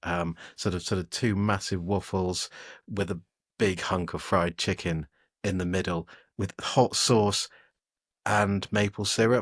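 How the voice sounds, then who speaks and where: An English accent at a fairly slow pace, with fairly even intonation and long, frequent pauses, in a very clean recording with a silent background. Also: man, very deep, low pitch for a man. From England. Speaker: technology editor and podcast co-host. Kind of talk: casual podcast chat. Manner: hesitant, lots of fillers and repeats.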